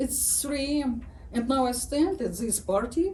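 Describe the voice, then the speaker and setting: In a strong Ukrainian accent, a woman speaks at a very slow pace with a high pitch. Audible room echo surrounds her voice. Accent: thick Ukrainian. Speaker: writer. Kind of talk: reading aloud.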